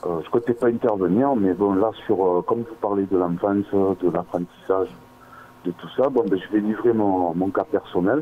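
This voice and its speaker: This man has an unremarkable speaking voice. His pace stays moderate, with ordinary pitch variation. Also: fairly low pitch for a man. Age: 40s. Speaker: caller. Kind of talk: call-in. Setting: phone call.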